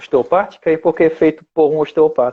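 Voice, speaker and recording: A man with a dark, mellow tone speaks at a fairly high pitch. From France. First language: French (speaking Portuguese). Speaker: osteopath and teacher. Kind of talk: video call interview. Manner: halting, many fillers.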